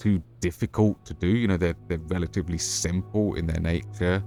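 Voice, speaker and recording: Fairly slow pace over music in the background. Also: man. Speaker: gaming streamer. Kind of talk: live gameplay stream chat. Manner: halting.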